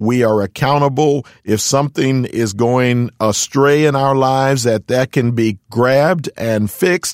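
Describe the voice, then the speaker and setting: In an American accent, a man speaks with an unremarkable speaking voice at a medium pitch and fairly slow pace, with ordinary pitch variation, very even loudness and hardly any pauses, in a dry, close sound with no echo on a very clean recording with a silent background. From Philadelphia, US. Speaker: pastor. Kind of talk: interview. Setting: studio.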